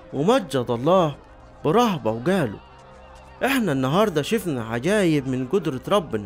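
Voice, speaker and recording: Over music in the background, a man with a fairly high pitch speaks at a moderate pace, his pitch swinging very widely. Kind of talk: scripture reading.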